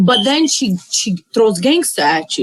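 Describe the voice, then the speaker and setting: A woman speaks loudly in an angry tone at a fairly high pitch, her pitch swinging very widely. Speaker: podcast co-host. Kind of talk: casual chat. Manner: sounds angry.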